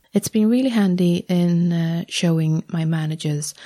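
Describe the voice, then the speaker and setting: A woman speaks in a fairly low, somewhat breathy voice with a dark, mellow tone. The sound is dry and close, with no echo. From Sweden. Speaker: objects conservator, podcast host. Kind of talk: casual chat.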